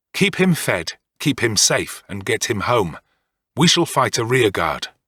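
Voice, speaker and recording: Growling in a put-on character voice of medium pitch, a man swings his pitch very widely at a moderate pace, in a very clean, dry, close recording with a silent background and no echo. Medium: read story. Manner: terse, commanding.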